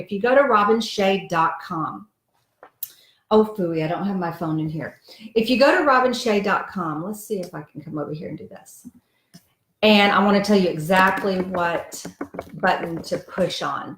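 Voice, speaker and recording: With an ordinary speaking voice, a woman speaks at a moderate pace in medium pitch, her intonation lively and her loudness swinging widely. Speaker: diet coach and author. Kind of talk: live video chat with viewers.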